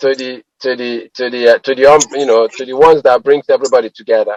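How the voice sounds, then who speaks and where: An unremarkable speaking voice from a man, moderate pace and ordinary pitch variation, with a dry, close sound and no echo. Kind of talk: radio talk show host interviewing a guest.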